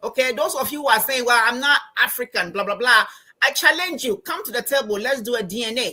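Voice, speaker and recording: Here a woman speaks with a Ghanaian accent at a fairly quick pace. Her voice is high in pitch, with a bright, sharp tone. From Ghana, Accra. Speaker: financial coach and anthropology professor. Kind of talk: interview. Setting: live stream. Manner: animated.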